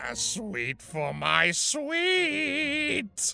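A raspy, put-on character voice is heard. Music plays in the background. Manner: cooing, seductive.

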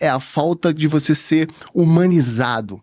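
A man's moderate-paced speech shows ordinary pitch variation, set against a quiet background. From Rio de Janeiro, Brazil. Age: 30s. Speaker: entrepreneur; podcast guest. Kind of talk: interview conversation. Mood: reflective, storytelling. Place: studio. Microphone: studio mic.

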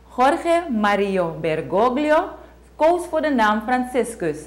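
Very wide pitch swings mark a woman's speech, delivered at a very slow pace. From Suriname. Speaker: news presenter. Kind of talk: news reading. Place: studio.

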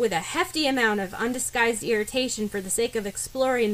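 Someone here is reading aloud in a natural voice.

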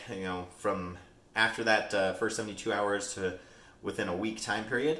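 A man talks with audible echo from the room. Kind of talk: tutorial. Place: kitchen.

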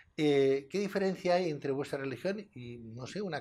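The man talks at a moderate pace with ordinary pitch variation. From Spain. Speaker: TV presenter; TV show host. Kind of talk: TV interview. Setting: TV studio. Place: studio. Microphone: lapel.

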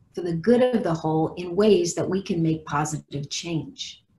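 Lively intonation from a woman with a fairly low, somewhat breathy voice at a moderate pace. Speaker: nonprofit president and moderator. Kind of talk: webcast moderation. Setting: video call. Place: home room. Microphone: video call.

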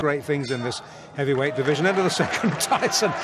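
An excited man with ordinary pitch variation, over loud background noise. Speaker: boxing commentator. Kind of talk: live ringside boxing commentary, blow-by-blow. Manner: measured analysis between exchanges, sudden excited bursts at knockdowns; animated.

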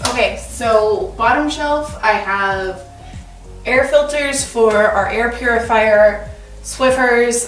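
A high-pitched woman at a very slow pace, ordinary pitch variation, audible room echo and clear music in the background. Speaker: home organizing vlogger. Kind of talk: casual vlog chat. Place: garage. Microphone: camera far.

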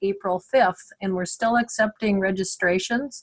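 Somewhat breathy, a woman at a medium pitch speaks at a moderate pace with fairly even intonation. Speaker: webinar host. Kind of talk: webinar moderator introductions. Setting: video call webinar.

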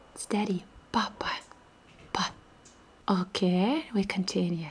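A soft-spoken woman at a medium pitch, fairly slow in pace, with ordinary pitch variation. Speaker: Russian language teacher. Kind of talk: ASMR language lesson. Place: home room. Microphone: studio mic.

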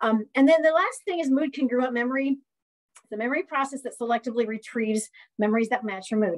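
Against a quiet background, a woman with an American accent speaks at a very fast pace. Her pitch is high, with ordinary pitch variation. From US Midwest. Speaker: community college professor; college professor. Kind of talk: lecture. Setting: video call. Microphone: webcam.

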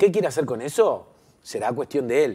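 A man is speaking. His pace is fairly quick. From Uruguay, Montevideo. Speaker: comedian. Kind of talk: TV interview. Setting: TV studio. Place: studio. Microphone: lapel.

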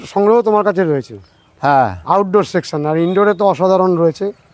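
Here a man talks in a high voice with ordinary pitch variation. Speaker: YouTube gardening vlogger. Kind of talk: casual interview during nursery tour.

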